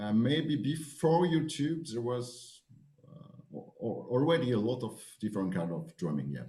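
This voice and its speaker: This man speaks at a medium pitch with very wide pitch swings, at a fairly slow pace. Audible room echo surrounds his voice. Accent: French-Swiss. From French-speaking Switzerland. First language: French. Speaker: drum show director and percussion teacher. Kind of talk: interview. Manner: halting.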